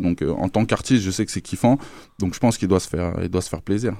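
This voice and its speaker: Over a very clean recording with a silent background, a man speaks very fast in a very deep, low pitch, his tone dark and mellow and his intonation fairly even. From France. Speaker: rapper. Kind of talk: interview. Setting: studio.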